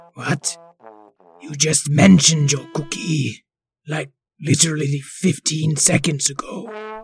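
Putting on a character voice, a man with a fairly high pitch speaks at a fairly slow pace with ordinary pitch variation, long, frequent pauses and big swings in loudness, with music in the background. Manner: wicked-sounding but polite and exasperated.

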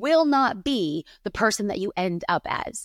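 A woman with a fairly high pitch, an animated tone and very wide pitch swings, in a dry, close sound with no echo and a very clean recording with a silent background. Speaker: pastor and church planter. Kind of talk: interview conversation.

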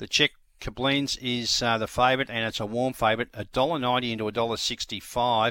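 A man with an Australian accent, medium pitch, bright, sharp tone, monotone, flat intonation and a very fast pace. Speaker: greyhound racing tipster and show host. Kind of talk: racing preview.

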